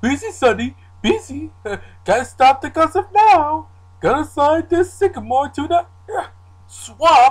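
Delivered at a fairly slow pace, the high-pitched voice leaves long, frequent pauses. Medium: fan dub.

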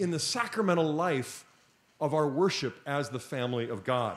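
His pitch rises and falls very widely. The speaker is a man. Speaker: conference speaker. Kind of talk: lecture. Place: hall. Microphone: podium.

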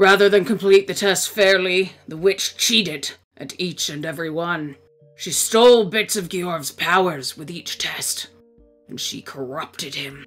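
A put-on character voice at middle pitch and moderate pace, with faint music in the background. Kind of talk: long-winded storytelling speech. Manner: pompous, condescending, self-important.

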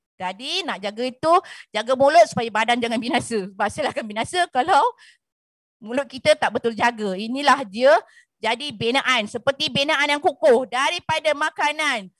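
In a dry sound with no echo and a quiet background, a woman talks at a moderate pace with a high pitch and lively intonation. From Malaysia, Banjar-Javanese descent. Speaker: nutrition coach. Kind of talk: seminar talk. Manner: animated. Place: studio. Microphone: handheld.

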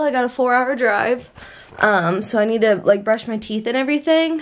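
Her pitch high with ordinary variation, a woman talks at a moderate pace. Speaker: vlogger. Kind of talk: casual vlog chat. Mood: upbeat, relieved to leave. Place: home room. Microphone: phone near.

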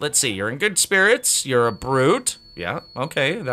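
Lively intonation in an unforced reading voice

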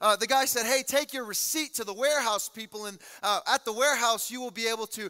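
A man's raised, projected voice rushes at a very fast pace with fairly even intonation and a bright, sharp tone against a quiet background. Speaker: pastor preaching. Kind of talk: sermon. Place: church. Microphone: headset.

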